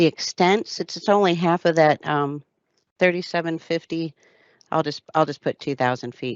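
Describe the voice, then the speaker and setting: A woman speaks in a plain, everyday voice, fairly low-pitched, at a moderate pace with ordinary pitch variation. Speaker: damage prevention liaison presenter. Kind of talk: webinar software tutorial.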